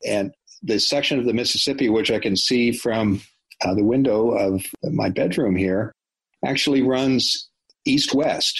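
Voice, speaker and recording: A man's medium-pitched voice at a fairly slow pace, with ordinary pitch variation and very even loudness. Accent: American. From US Midwest, Iowa. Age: 50s. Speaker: career expert and business founder. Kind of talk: interview. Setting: remote call from home.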